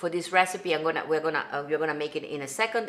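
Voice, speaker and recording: Over light background noise, the speaker uses an Italian accent with ordinary pitch variation. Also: woman. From Italy, Venice. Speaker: singer and songwriter hosting a cooking livestream. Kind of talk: casual livestream cooking tutorial. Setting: home kitchen livestream. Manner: animated. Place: kitchen.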